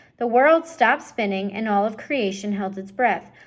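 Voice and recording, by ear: Someone reads aloud in a natural voice, the pitch shifting in an ordinary way.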